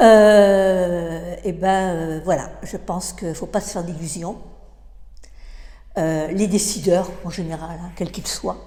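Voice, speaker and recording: A woman's fairly low-pitched, dark and mellow voice with vocal fry, fairly even intonation, a very slow pace and long, frequent pauses, amid audible room echo. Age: 70s. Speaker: interviewee sharing personal views. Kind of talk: interview. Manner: halting, with many hesitations and repetitions.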